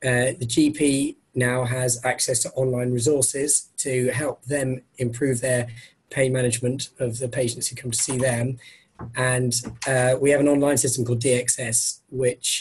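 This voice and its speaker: Speaking in an English accent, a man's somewhat breathy voice sits at medium pitch with monotone, flat intonation and a moderate pace. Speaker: doctor. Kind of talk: webinar presentation. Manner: hesitant, many fillers.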